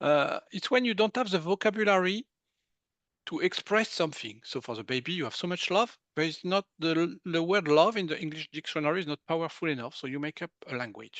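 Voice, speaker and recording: A man with a French accent and a high voice, fairly quick and with lively intonation, in a dry, close sound with no echo against a quiet background. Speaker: medical intuitive. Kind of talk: interview.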